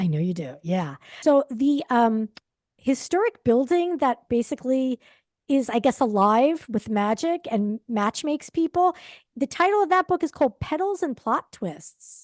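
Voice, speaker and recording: A woman's high voice with an American accent, very wide pitch swings and a fairly slow pace, dry and close with no echo over a quiet background. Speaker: book talk show co-host. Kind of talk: casual chat. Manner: halting.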